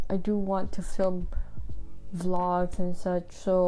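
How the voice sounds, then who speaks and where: With a non-native accent, a woman speaks in a medium pitch with fairly even intonation. Music plays in the background. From Indonesia. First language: not English. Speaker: book youtuber and blogger. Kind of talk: casual vlog talk to camera.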